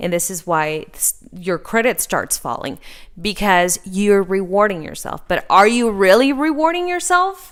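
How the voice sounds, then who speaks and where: A woman at a medium pitch, lively in intonation, fairly slow, with big swings in loudness. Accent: Spanish. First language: Spanish. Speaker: podcast host, finance advisor. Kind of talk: casual chat.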